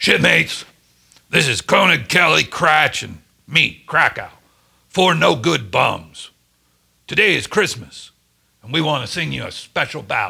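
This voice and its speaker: Putting on a raspy character voice at a fairly high pitch, a man talks at a moderate pace with long, frequent pauses. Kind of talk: gruff, jovial.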